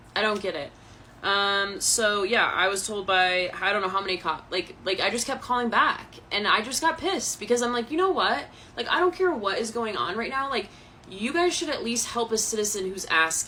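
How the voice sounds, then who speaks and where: A woman with a fairly high voice speaks at a moderate pace with lively intonation over noticeable background noise. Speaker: vlogger telling personal story. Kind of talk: personal testimony vlog. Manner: animated, emotional.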